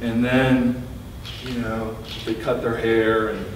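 A man speaks at a very slow pace with audible room echo and light background noise. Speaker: poet giving a reading. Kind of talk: introduction before a poetry reading. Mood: relaxed, lightly humorous. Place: shop. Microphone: camera far.

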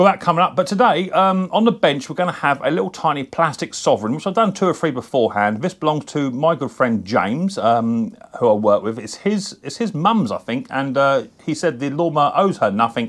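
A man talking at a fairly quick pace against a quiet background. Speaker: mower repair channel host. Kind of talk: casual vlog chat. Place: workshop. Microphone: camera far.

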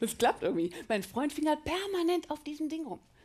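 A woman talks at a moderate pace. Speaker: comedian. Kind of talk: stand-up comedy routine. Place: stage. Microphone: headset.

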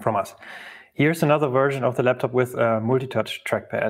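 Here a man speaks at a fairly quick pace. His intonation stays fairly even. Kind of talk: conference talk.

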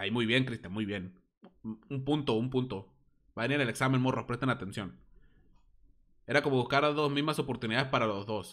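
In a Mexican accent, this animated speaker moves at a fairly quick pace with ordinary pitch variation and long, frequent pauses against a quiet background. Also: man, medium pitch for a man. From Mexico. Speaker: gaming streamer and podcaster; gaming streamer, podcaster. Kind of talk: casual live-stream chat. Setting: live stream. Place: home room. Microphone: studio mic.

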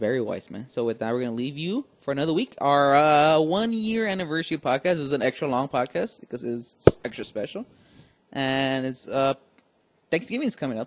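This is a man with an unremarkable speaking voice. He talks at a fairly quick pace. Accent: American. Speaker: podcast host. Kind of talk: casual chat.

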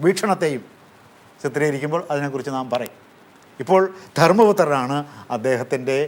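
A man speaks in a fairly high voice with lively intonation. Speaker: professor. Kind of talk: lecture. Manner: formal; halting.

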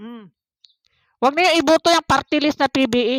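The sound is dry and close with no echo as a woman speaks at a moderate pace with ordinary pitch variation. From Philippines, Davao City. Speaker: political vlogger. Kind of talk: reaction vlog commentary. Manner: hesitant, many fillers.

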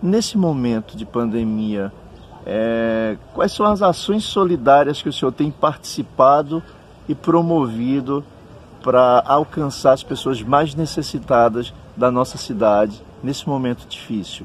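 Using an unremarkable speaking voice, a man speaks at a medium pitch with lively intonation. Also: fairly slow pace. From Juazeiro, Bahia, Brazil. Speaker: teacher and interviewer. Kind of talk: interview. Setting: outdoors in a town square.

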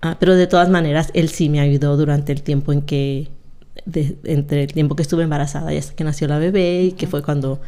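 A woman speaks at a very fast pace with a very deep, low pitch and a monotone, flat intonation. Her tone is dark and mellow, and the background is quiet. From Mexico, Zacatecas; raised in California from age 8. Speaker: retired police officer; podcast guest. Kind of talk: interview, life story. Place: studio. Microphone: studio mic.

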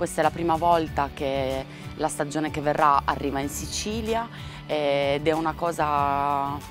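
A woman's very deep, low voice, fairly slow and fairly even in intonation, with a dry sound free of echo and clear music in the background. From Sardinia, Italy. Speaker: author. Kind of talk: interview answer. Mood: happy, moved.

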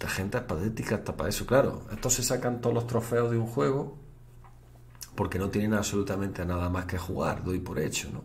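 A man speaks at a fairly quick pace in a fairly low pitch, his voice somewhat breathy, with light background noise. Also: ordinary pitch variation. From Spain. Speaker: Twitch streamer. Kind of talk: live stream chat. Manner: animated. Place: home room.

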